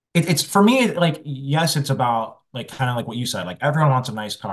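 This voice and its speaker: A man's medium-pitched, somewhat breathy voice at a very fast pace, hardly any pauses, very wide pitch swings and big swings in loudness. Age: 30s. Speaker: music marketing agency founder. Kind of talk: interview.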